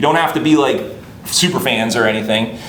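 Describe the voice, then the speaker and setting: Amid noticeable background noise and audible room echo, a man talks at a very fast pace in a fairly high pitch with an animated tone. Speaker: marketing instructor. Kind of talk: lecture.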